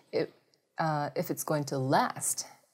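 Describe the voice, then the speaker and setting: A woman with a Japanese accent speaks with ordinary pitch variation on a very clean recording with a silent background. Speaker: former Olympic volleyball player. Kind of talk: interview. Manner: halting, many fillers.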